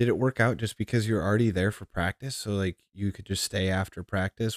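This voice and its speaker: A man speaks at a fairly quick pace in a plain, everyday voice, pitched fairly low, with fairly even intonation. The recording is very clean and dry, close-miked with no echo and a silent background. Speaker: podcast host. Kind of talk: casual interview chat.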